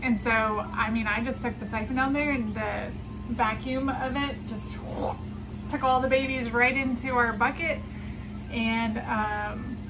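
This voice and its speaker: Noticeable background noise sits behind this woman's voice. She speaks fairly slowly at a high pitch. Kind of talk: casual vlog chat. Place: home room. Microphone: phone near.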